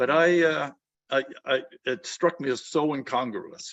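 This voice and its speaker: A man with a normal speaking voice and an American accent talks at a fairly slow pace with ordinary pitch variation. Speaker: Vietnam War veteran. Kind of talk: interview answer.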